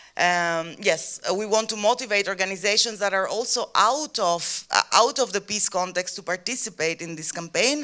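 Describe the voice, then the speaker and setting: A woman with a Greek accent speaks at a medium pitch in a bright, sharp tone, with ordinary pitch variation, a moderate pace and hardly any pauses. The recording is very clean with a silent background. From Greece. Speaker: activist. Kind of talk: panel talk. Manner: halting.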